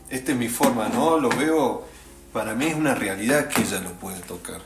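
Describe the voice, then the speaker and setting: Male speech carrying audible room echo, plus noticeable background noise. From Traslasierra valley, Córdoba, Argentina. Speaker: musician. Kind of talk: casual chat. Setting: host's rural house.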